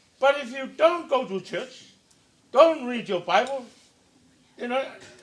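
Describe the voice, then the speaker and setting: With a Samoan accent and an extremely high voice, a man talks at a fairly slow pace with lively intonation and audible room echo. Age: 70s. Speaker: preacher. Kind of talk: sermon.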